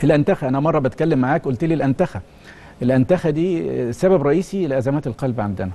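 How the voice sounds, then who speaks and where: A man talks at a fairly quick pace with lively intonation. His tone is dark and mellow, with vocal fry. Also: fairly high pitch for a man. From Egypt. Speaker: cardiology professor. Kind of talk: TV interview. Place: studio. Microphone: lapel.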